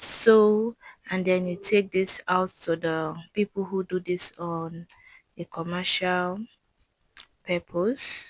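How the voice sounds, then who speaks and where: A woman speaks very slowly at a medium pitch, with long, frequent pauses. Her intonation is monotone and flat, and the sound is dry and close with no echo. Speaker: sewing tutor. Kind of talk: tutorial.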